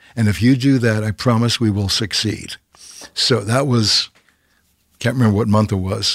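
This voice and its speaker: A man with a Canadian accent, medium pitch and ordinary pitch variation, at a moderate pace on a very clean recording with a silent background. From Canada. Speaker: TV host and producer. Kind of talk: interview. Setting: studio.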